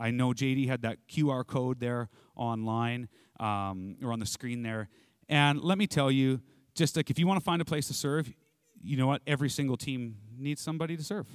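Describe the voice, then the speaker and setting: A man's medium-pitched voice at a moderate pace, an ordinary speaking voice with ordinary pitch variation, in a very clean recording with a silent background and a dry, close sound with no echo. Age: 40s. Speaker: pastor. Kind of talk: sermon. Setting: church.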